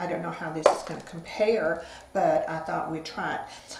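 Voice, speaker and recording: Light background noise and audible room echo surround a woman's voice. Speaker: beauty vlogger. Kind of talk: tutorial. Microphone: phone near.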